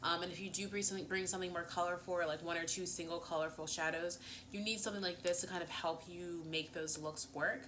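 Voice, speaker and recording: Talking at a very fast pace with hardly any pauses, a woman with an American accent and a fairly low pitch sounds animated amid noticeable background noise and audible room echo. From US Northeast, Philadelphia. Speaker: beauty vlogger. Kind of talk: casual chat.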